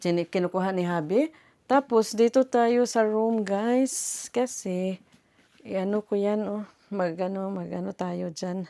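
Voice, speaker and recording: A woman's dark, mellow voice moves at a fairly slow pace with ordinary pitch variation, in a dry, close sound with no echo. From Philippines. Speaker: vlogger. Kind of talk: casual vlog.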